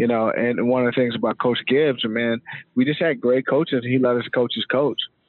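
Monotone, flat intonation marks this man's medium-pitched voice with an American accent. He talks at a fairly quick pace with very even loudness. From US Mid-Atlantic, Montgomery County, Maryland. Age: 40s. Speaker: former NFL player and company CEO. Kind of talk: interview. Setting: studio.

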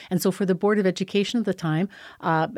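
A woman with a Canadian prairie accent, fairly even intonation, a dry, close sound with no echo, and a very clean recording over a silent background. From Saskatchewan, Canada (small town). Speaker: school board trustee. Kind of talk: interview. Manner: halting, many repetitions.

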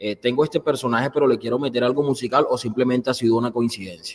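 Speaking very fast, a man keeps his voice at a medium pitch. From Colombian Caribbean coast. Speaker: show host. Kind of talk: interview. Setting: studio.

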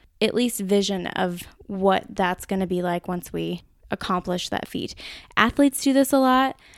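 Recorded dry and close with no echo and a very clean, silent background, a woman with an American accent speaks at a moderate pace in a medium pitch with ordinary pitch variation. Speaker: podcast host. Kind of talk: solo podcast talk. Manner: casual, conversational.

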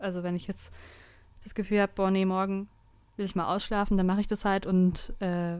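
A woman speaks at a moderate pace in a monotone, flat delivery. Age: 20s. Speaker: law student, district councillor. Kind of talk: casual chat.

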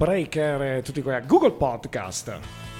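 A man's fairly slow speech, its pitch varying in an ordinary way. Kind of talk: radio dj patter. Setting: live radio show from a blues club. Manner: chatty, loud and enthusiastic, with casual asides.

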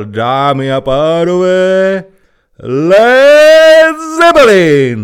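A bellowing, shouted put-on character voice with very wide pitch swings. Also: man, high pitch for a man. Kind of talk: stage announcement. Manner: roaring, shouted.

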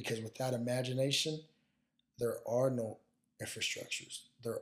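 Here a man speaks at a medium pitch in a somewhat breathy voice. His intonation stays fairly even. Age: 30s. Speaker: football strength and conditioning coach. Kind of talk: casual chat.

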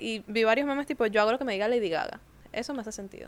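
Very fast and full of lively intonation, a woman speaks in a high pitch on a very clean recording with a silent background. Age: 20s. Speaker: podcast co-host. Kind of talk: casual chat.

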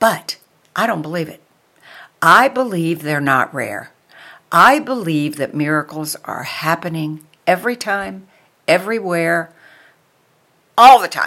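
A woman's fairly low voice, bright and sharp, with an animated tone, lively intonation, big swings in loudness, a fairly slow pace and long, frequent pauses, on a very clean recording over a silent background. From New York. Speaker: podcast host. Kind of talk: inspirational monologue.

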